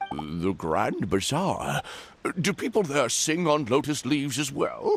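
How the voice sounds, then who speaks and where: Pitched low-to-middle, a put-on character voice speaks at a fairly slow pace. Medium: video game. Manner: excitable, bossy.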